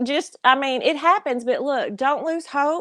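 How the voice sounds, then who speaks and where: A woman at a moderate pace, with ordinary pitch variation. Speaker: military veteran. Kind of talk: casual chat.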